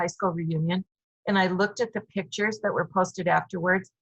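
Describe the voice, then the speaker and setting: The speaker has a plain, everyday voice. The intonation stays fairly even. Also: woman. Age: 60s. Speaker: fitness client sharing recovery experience. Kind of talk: interview testimony.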